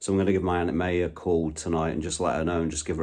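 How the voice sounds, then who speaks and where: In a very deep, low voice, a man rattles along at a very fast pace in a monotone, flat delivery. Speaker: amateur DIY car mechanic vlogger. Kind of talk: casual vlog narration. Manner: soft-spoken, talking quietly; casual, hesitant with fillers.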